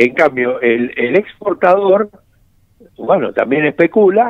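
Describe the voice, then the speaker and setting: Very wide pitch swings mark this man's fairly slow delivery. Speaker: economist. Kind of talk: interview.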